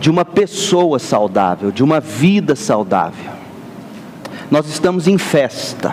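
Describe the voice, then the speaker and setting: Background noise is noticeable throughout. The talking proceeds very slowly. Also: man. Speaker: pastor. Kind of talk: sermon.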